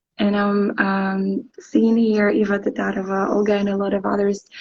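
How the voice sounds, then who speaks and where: A woman's somewhat breathy voice with a Ukrainian accent. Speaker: English teacher. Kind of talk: interview. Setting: live stream. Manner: hesitant, many fillers.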